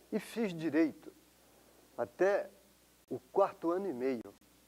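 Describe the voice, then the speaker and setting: A man with lively intonation. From Brazil, São Paulo. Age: 60s. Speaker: professor. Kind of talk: interview testimony. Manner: halting, repeats words.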